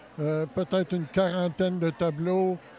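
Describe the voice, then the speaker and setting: Noticeable background noise runs under the speech. The intonation stays fairly even. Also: man. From Quebec City area. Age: 60s. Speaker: painter, former art teacher. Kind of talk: interview. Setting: event venue. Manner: halting.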